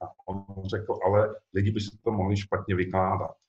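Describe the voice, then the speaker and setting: Somewhat breathy and fairly low-pitched, a man talks with monotone, flat intonation. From Czech Republic. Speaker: novelist. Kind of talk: author interview.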